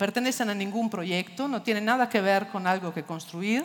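Lively intonation marks this woman's Italian accent. She talks at a moderate pace. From Italy. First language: Italian (speaking Spanish). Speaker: architecture foundation director; speaker. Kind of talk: lecture. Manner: halting, many fillers. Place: stage. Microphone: headset.

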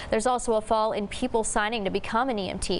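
A woman talks at a fairly quick pace with a fairly high pitch. She has an American accent. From Texas, USA. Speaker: TV news reporter and anchor. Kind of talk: TV news anchor delivery. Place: studio. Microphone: lapel.

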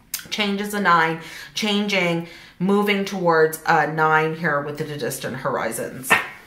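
In a room with audible echo, a woman talks fairly slowly at a fairly low pitch with ordinary pitch variation. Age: 40s. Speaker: tarot reader and spiritual YouTuber; tarot reader, spiritual YouTuber. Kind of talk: tarot reading monologue.

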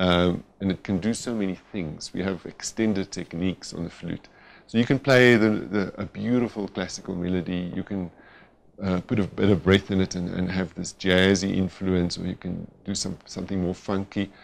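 A man with a very deep, low pitch, a moderate pace, and fairly even intonation. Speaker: interviewee. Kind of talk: interview answer.

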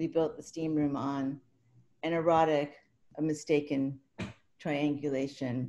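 Over light background noise, a woman with a very deep, low pitch and a dark, mellow tone speaks flat and monotone at a fairly slow pace, with long, frequent pauses. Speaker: poet and writing professor; poet. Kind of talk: poetry reading. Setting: video call. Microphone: webcam.

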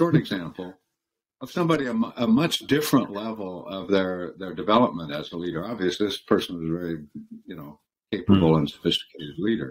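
A man's very deep, low voice with an American accent, a fairly quick pace and lively intonation. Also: big swings in loudness. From US, California and Michigan. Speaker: former law firm partner and leadership consultant; interview guest. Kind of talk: interview. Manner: halting. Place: home room. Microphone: video call.

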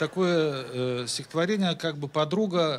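Taking a fairly slow pace, a man speaks with lively intonation. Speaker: comic poet. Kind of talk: stand-up comic verse reading. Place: stage. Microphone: handheld.

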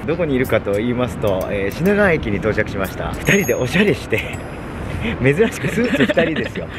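The speech moves at a fairly quick pace with a dry sound and no echo. Noticeable background noise is present. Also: man. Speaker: company president and channel host. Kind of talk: casual talk to camera. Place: street. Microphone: phone near.

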